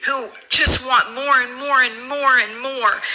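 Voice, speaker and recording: A woman's raised, projected voice, high-pitched and fairly slow. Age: 50s. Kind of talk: emotional rant to camera.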